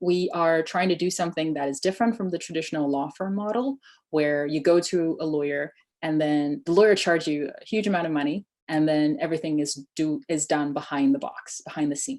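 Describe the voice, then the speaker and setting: A woman speaks at a fairly quick pace with a fairly low pitch. Her pitch varies in an ordinary way over a quiet background. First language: Chinese. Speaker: immigration tech startup founder. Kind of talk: webinar Q&A.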